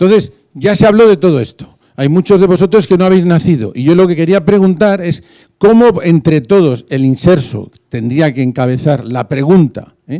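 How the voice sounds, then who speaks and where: A man speaks at a moderate pace in a high voice, with a dark, mellow tone and lively intonation. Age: 60s. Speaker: audience member asking a question. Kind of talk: question from the floor at a conference.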